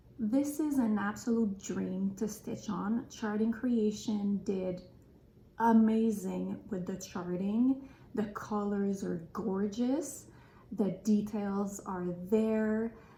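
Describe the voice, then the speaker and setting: Somewhat breathy, with a dark, mellow tone, the voice moves at a very slow pace with fairly even intonation and audible room echo. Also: woman, medium pitch for a woman. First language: French. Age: 30s. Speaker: craft vlogger. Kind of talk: casual podcast chat. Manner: halting with fillers.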